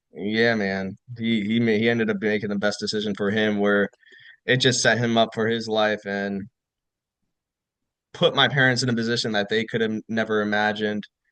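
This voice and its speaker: A man with an American accent speaks at a fairly low pitch in a flat monotone. He leaves long, frequent pauses against a quiet background. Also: moderate pace. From New York, Rockland County. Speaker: retired army officer. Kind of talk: casual chat.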